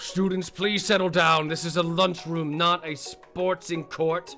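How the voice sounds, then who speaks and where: A man puts on a character voice at a high pitch and moderate pace, with clear music in the background. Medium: game stream. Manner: formal, lecturing.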